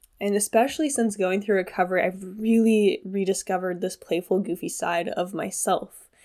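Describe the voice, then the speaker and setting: A woman's dark, mellow voice at a moderate pace, with fairly even intonation, hardly any pauses, and a very clean recording with a silent background. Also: medium pitch for a woman. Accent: American. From US Pacific Northwest, Washington State. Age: 20s. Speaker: podcast host, body image coach. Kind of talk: casual solo monologue. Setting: at home.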